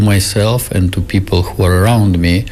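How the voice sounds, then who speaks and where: Someone speaks at a fairly slow pace in a Russian accent, with fairly even intonation. Noticeable background noise runs underneath. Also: man. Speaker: Buddhist teacher. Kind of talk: radio interview.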